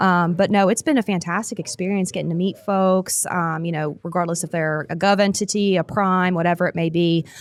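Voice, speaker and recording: With an American accent, a woman talks at a fairly quick pace and with fairly even intonation. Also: fairly low pitch for a woman, hardly any pauses. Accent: West Virginia accent, noticed by others. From West Virginia. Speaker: defense industry business development director, veteran. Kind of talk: podcast interview. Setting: live at a conference.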